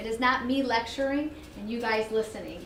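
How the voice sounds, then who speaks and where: A woman's high voice with ordinary pitch variation, audible room echo and noticeable background noise. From Israel. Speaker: educational therapist and program director. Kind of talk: workshop presentation. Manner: fast.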